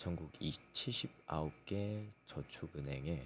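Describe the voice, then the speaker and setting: A man with a very deep, low pitch speaks with lively intonation and vocal fry. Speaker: economic news channel host. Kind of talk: reading news articles aloud. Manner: stumbling over words, self-correcting.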